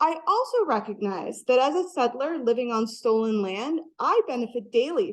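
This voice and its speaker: Moving at a moderate pace, a woman speaks at a high pitch. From Venezuela / US. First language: Spanish. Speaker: academic researcher. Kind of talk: keynote lecture.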